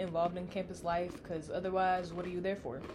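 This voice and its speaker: A woman with an American accent, medium pitch and a fairly quick pace, over noticeable background noise. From Texas. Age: young. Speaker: college student podcast co-host. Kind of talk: casual chat.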